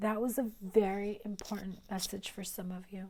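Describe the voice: A woman speaks with a raspy, slightly mellow voice at a medium pitch, with little pitch movement. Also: moderate pace.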